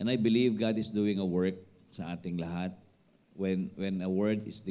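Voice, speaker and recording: There is audible room echo as a man with very deep, low pitch and a dark, mellow tone talks at a fairly slow pace with fairly even intonation. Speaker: pastor. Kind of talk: sermon. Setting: church midweek service. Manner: code-switching Tagalog and English.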